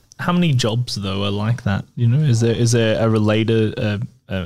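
In a very clean recording with a silent background, a man speaks in an Australian accent. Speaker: podcast co-host. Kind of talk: casual chat.

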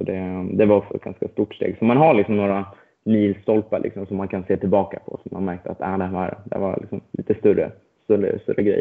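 Very fast and fairly low in pitch, a man talks with fairly even intonation. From Sweden, Stockholm. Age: 20s. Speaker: racing driver. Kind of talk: interview. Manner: hesitant, many fillers.

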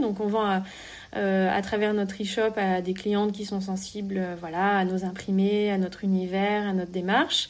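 A woman's medium-pitched voice in monotone, flat intonation at a moderate pace, with audible room echo. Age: 30s. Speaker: entrepreneur. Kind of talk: interview. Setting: remote call. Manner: halting.

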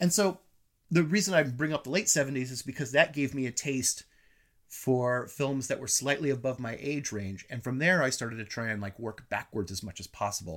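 An ordinary speaking voice with lively intonation comes through on a very clean recording with a silent background. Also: man, medium pitch for a man. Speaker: film critic. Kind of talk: casual chat. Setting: in-person recording at home.

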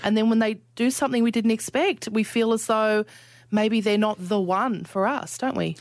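Pitched fairly high, a woman speaks with an Australian accent. Her pace is moderate and her intonation fairly even. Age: 40s. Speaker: podcast host. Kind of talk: casual chat.

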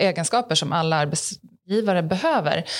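Her pitch rises and falls across a very wide range. The woman keeps to a moderate pace. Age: 30s. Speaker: podcast host. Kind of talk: casual interview.

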